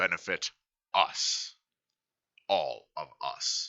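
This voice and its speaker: This man puts on a character voice. He pitches it extremely high. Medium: read story. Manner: haughty, commanding.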